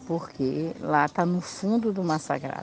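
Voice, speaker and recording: A woman speaks very slowly with a fairly low pitch and ordinary pitch variation. Noticeable background noise runs underneath. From Olivença, Bahia, Brazil. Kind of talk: recorded testimony.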